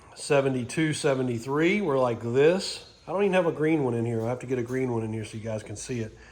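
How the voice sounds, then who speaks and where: Noticeable background noise and audible room echo around a man's fairly quick speech. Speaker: vehicle restoration hobbyist. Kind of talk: casual walkthrough video.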